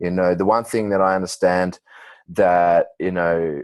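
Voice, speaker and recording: In a dry, close sound with no echo and a silent background on a very clean recording, a man speaks at a moderate pace in a very deep, low, monotone voice. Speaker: team leader. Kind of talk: group call talk. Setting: conference call. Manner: speaking quietly.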